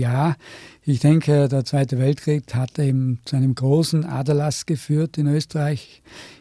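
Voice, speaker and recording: A man speaks in a fairly high, somewhat breathy voice with a dark, mellow tone. His intonation stays monotone and flat, and the sound is dry and close with no echo. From Austria, Tyrol (Innsbruck). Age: 70s. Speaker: university rector, physicist. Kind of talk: radio interview.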